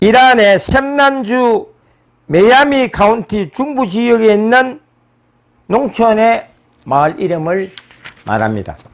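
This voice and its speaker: Speaking at a very slow pace with long, frequent pauses, a man with a Gyeongsang accent uses a high pitch and lively intonation. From South Korea, Busan (Gyeongsang). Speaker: history lecturer. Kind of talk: lecture.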